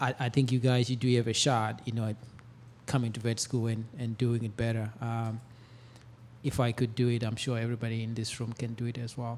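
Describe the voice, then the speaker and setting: With an African accent, a man talks at a fairly quick pace in a monotone, flat intonation at medium pitch, on a very clean recording with a silent background. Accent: non-US African. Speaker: veterinary professor. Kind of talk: panel discussion. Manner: halting, many fillers.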